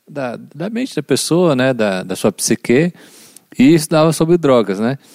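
A man with a plain, everyday voice talks at a moderate pace with lively intonation, the sound dry and close with no echo. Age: 30s. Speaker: guest, former rehab clinic worker. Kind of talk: casual chat.

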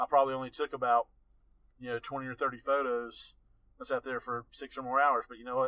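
Talking very fast with an Appalachian accent, a man holds a flat, monotone intonation at a medium pitch. His tone is bright and sharp, and his loudness swings widely. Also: dry, close sound with no echo. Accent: Appalachian Southern US. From Western North Carolina. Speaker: landscape photographer. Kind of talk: interview.

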